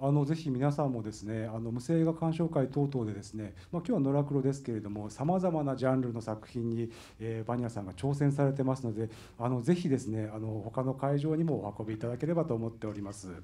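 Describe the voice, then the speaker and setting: A man's medium-pitched voice with a dark, mellow tone, ordinary pitch variation and a fairly quick pace. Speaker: festival event host (MC). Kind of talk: MC introduction and interview.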